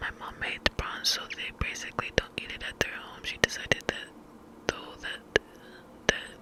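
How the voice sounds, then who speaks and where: Whispering at a moderate pace against noticeable background noise. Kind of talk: story reading. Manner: whispered.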